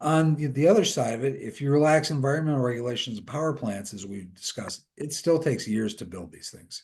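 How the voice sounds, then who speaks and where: Lively intonation from a somewhat breathy man at a fairly quick pace. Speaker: industry analyst. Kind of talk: webinar presentation. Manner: fast.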